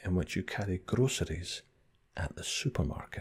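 A man speaks with a Scottish accent. His voice is soft-spoken. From Scotland. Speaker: ASMR creator. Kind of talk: ASMR accent tag, casual talk to camera. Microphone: studio mic.

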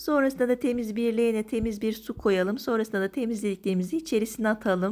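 Speaking at a fairly quick pace, a woman has a fairly high pitch and a dark, mellow tone. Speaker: cooking vlogger. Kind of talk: tutorial. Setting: outdoors. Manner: energetic.

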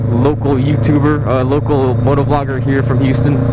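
Amid loud background noise, a man with an American accent speaks at a moderate pace in a dry sound with no echo. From San Francisco Bay Area, California. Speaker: motorcycle vlogger. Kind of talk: casual vlog. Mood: relaxed, startled once. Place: motorbike. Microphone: helmet.

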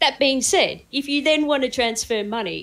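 This woman has an Australian accent and a high pitch. She talks at a moderate pace with very wide pitch swings. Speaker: cryptocurrency trader. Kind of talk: casual chat.

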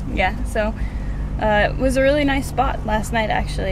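Amid loud background noise, a woman talks at a very fast pace. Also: dry sound with no echo. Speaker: travel vlogger. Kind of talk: casual vlog chat. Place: car. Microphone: phone near.

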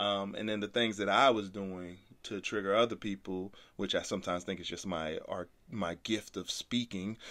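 A man with an American accent speaks at a moderate pace, with fairly even intonation. His pitch is fairly low, and he has an unremarkable speaking voice. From Brooklyn, New York, later North Carolina. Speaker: podcast host, entrepreneur. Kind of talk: casual chat.

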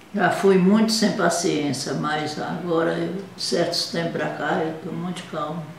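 Speech at a fairly slow pace with hardly any pauses carries audible room echo and light background noise. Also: woman, fairly low pitch for a woman, ordinary pitch variation. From Brazil, Bahia. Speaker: grandmother. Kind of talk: interview. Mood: calm, reflective, sad at end. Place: home room. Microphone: webcam.

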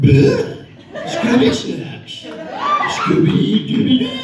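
Amid clear background noise and a slight echo, a man uses a put-on character voice with a high pitch at a fairly slow pace. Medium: stage.

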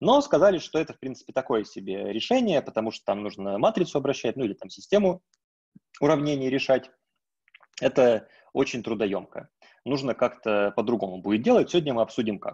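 Very wide pitch swings mark a man's fairly quick speech against a quiet background. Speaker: university lecturer. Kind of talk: lecture. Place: home room. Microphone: video call.

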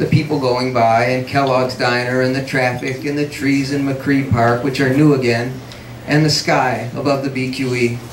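A man talks at a moderate pace, with light background noise and audible echo from the room. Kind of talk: literary reading. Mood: reflective, measured. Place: cafe. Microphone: camera far.

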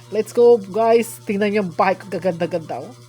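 A woman speaks in an animated tone with lively intonation at a fairly quick pace, with noticeable background noise behind her. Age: old. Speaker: YouTuber. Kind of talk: gameplay commentary.

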